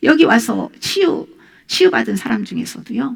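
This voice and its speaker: The woman talks at a moderate pace. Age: 60s. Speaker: pastor. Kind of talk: sermon.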